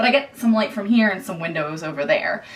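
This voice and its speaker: Noticeable background noise sits behind a woman with a Philadelphia accent whose fairly high voice swings very widely in pitch. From Philadelphia area, US. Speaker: YouTuber, houseplant enthusiast. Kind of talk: home tour vlog. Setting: at home in apartment. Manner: casual, chatty.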